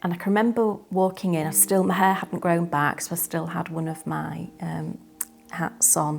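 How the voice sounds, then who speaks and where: A woman at a fairly low pitch and moderate pace with music in the background. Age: 60s. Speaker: cancer survivor. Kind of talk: testimony. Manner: hesitant, with many fillers.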